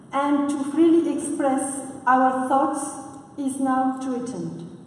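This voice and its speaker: Amid noticeable background noise and audible room echo, a woman with a non-native accent speaks at a very slow pace and a high pitch. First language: not English. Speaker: conference speaker. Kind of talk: prepared speech. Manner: halting, frequent uh.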